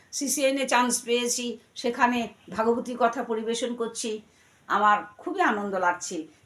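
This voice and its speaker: Noticeable background noise runs through the clip. Over it, a woman talks. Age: 60s. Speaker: religious scripture reciter and radio artist. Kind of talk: interview with devotional discourse. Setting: at her home.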